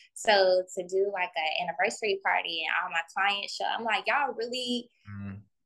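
At a moderate pace and with hardly any pauses, a woman uses a normal speaking voice of medium pitch and ordinary pitch variation. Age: 20s. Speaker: esthetician and spa owner. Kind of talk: casual interview.

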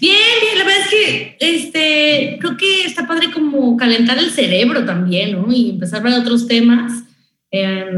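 An energetic woman's voice comes through with audible room echo. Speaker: radio announcer. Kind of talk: casual chat. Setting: video call.

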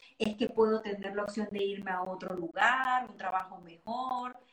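Speaking at a fairly slow pace, a woman uses a normal speaking voice with ordinary pitch variation. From Venezuela. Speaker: astrologer and tarot reader. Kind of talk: casual interview.

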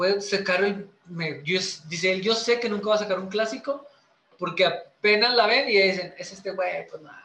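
A man with a high pitch uses a raised, projected voice at a fairly slow pace with ordinary pitch variation. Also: big swings in loudness. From Chihuahua, northern Mexico. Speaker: musician. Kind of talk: casual chat.

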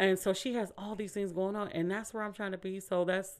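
A woman with an American accent, medium pitch, a fairly quick pace and a plain, everyday voice. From Bay Area, California (Vallejo). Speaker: podcast host. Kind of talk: casual chat.

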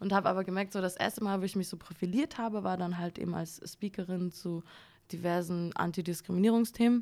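A woman uses a normal speaking voice at a medium pitch. Her pace is fairly quick and her intonation fairly even. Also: very clean recording, silent background. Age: 20s. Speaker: creative copywriter and former journalist. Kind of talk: casual chat. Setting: studio.

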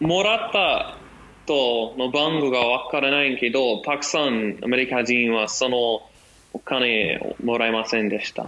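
In an American accent, a man speaks at medium pitch and a fairly slow pace. His pitch variation is ordinary, with noticeable background noise. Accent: American-accented Japanese. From US. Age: 20s. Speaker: guest, Japanese learner, history student. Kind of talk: casual chat. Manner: halting.

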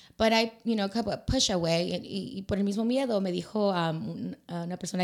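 A very fast, animated woman at a medium pitch with ordinary pitch variation, in a very clean recording with a silent background. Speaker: talk show host. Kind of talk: casual bilingual panel chat. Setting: live video stream. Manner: animated, code-switching between English and Spanish.

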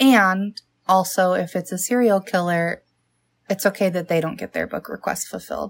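A woman with a plain, everyday voice speaks at a medium pitch and moderate pace, her intonation fairly even. The recording is very clean, with a silent background. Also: dry, close sound with no echo. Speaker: podcast co-host. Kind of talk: casual chat. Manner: casual, joking.

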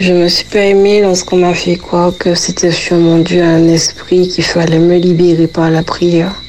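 Over noticeable background noise, a woman speaks at a moderate pace in a fairly low voice, her intonation monotone and flat and her loudness very even. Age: 30s. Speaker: faith testimony guest. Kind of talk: testimony. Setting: recorded interview.

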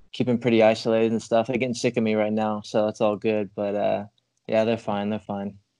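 With an American accent, the speaker moves along at a fairly quick pace. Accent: American accent, shifts toward English. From England and US, back and forth. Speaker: footballer. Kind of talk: interview. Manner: hesitant, many fillers.

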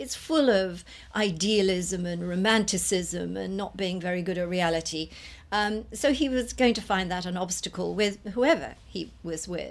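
A normal speaking voice from a woman, medium in pitch, with ordinary pitch variation at a moderate pace. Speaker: astrologer. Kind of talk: documentary interview.

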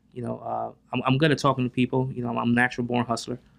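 A man speaks in a New Jersey accent. His pitch is medium and his intonation monotone and flat. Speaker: real estate investor. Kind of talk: interview.

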